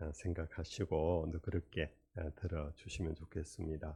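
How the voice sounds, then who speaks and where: Very deep and low, a man's voice has a dark, mellow tone and is somewhat breathy. He speaks at a fairly slow pace. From Korea, Daegu. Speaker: retired senior pastor, guest preacher. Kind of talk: sermon. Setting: church revival meeting.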